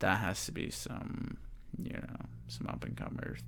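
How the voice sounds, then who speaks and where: A man is mumbling. His voice has vocal fry. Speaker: MMA betting podcaster. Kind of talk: casual podcast talk. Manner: mumbling, stumbling, stuttering.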